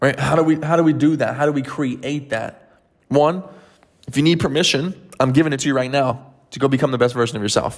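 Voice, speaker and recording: At a fairly quick pace, a man with a fairly high pitch and a warm tone speaks with fairly even intonation. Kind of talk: pep talk. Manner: emphatic, motivational, direct address; warm, encouraging, coach-like.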